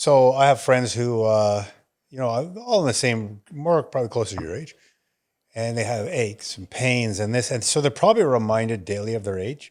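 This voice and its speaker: An ordinary speaking voice from a man, medium in pitch, at a moderate pace with big swings in loudness. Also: ordinary pitch variation. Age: 60s. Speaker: wellness podcast co-host. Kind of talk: casual chat.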